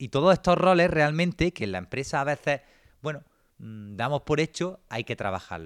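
A man talks at a moderate pace. The sound is dry and close, without any echo. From Granada, Andalusia, Spain. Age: 20s. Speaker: business consultant and entrepreneur. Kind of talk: online seminar lecture.

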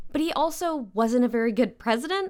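On a very clean recording with a silent background, this woman's speech moves at a moderate speed. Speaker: political podcast host. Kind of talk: casual commentary.

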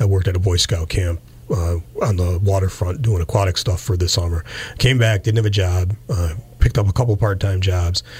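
A man with an American accent speaks at a fairly quick pace in a very deep, low voice. His pitch varies in an ordinary way, and there is noticeable background noise. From western Massachusetts (Pittsfield). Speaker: police chief. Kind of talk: interview. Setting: radio studio.

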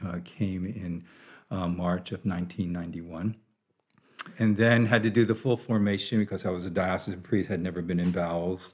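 A man with an American accent, a very deep, low pitch and fairly even intonation. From US, Baltimore, Maryland. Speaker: monk and priest. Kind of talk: interview on spirituality. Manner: halting, many fillers.

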